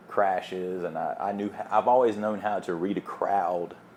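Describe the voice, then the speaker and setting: A man's fairly low voice with a Southern US accent, monotone and flat in intonation, at a moderate pace. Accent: Southern accent, kept. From US South, small town. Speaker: DJ. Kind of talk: casual chat.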